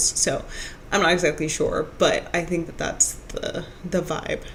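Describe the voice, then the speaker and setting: Speech moves at a fairly slow pace against noticeable background noise. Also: woman. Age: 30s. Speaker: streamer. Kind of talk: casual chat. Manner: halting.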